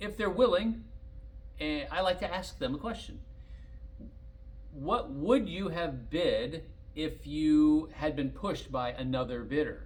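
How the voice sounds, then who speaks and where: A man speaks at a fairly slow pace with long, frequent pauses, while audible room echo and noticeable background noise surround his voice. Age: 60s. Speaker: collector car dealer. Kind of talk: casual monologue.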